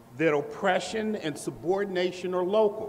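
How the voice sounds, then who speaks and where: Audible room echo comes through as a man speaks. His pitch is high and his pace is moderate. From US Midwest, Indianapolis, Indiana. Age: 60s. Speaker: professor. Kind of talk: lecture. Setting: lecture hall with audience. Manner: formal.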